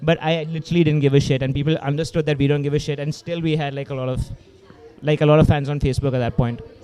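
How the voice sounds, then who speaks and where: A man with an Indian accent talks very fast in a fairly high pitch, his intonation flat and monotone, over noticeable background noise. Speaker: hardcore punk band vocalist. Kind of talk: casual podcast chat.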